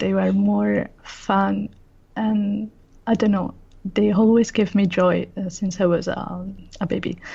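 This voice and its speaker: A woman speaking at a fairly slow pace against a quiet background. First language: Italian. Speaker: illustrator. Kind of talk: interview. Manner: halting.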